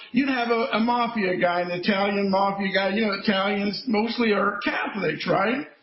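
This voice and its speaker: A high-pitched male voice at a moderate pace, with audible room echo and noticeable background noise. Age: 70s. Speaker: former state trooper and school safety activist. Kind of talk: interview. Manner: animated.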